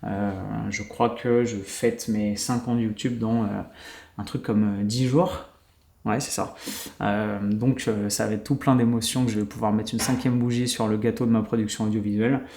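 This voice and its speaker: Using a dark, mellow tone, a man talks at medium pitch and a moderate pace with fairly even intonation. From France. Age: 30s. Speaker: YouTuber and podcaster. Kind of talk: solo podcast monologue. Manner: casual, filler-heavy.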